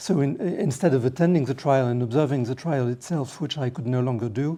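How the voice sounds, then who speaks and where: Speaking at a fairly quick pace, a man with a French accent has a dark, mellow tone, medium pitch and ordinary pitch variation. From France. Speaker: lawyer and trial observer. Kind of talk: panel talk. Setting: parliamentary meeting room. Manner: halting, searching for words.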